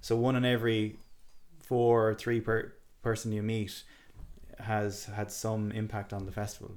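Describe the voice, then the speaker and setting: A man with an Irish accent, a fairly low pitch and a fairly slow pace. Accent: Irish (Galway). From Ireland, Galway City. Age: 30s. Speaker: festival wellness area curator. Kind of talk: casual chat.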